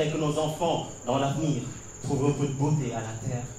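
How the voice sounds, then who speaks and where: A man keeps a moderate pace as noticeable noise sounds behind him. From Senegal. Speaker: slam poet. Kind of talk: slam poetry performance.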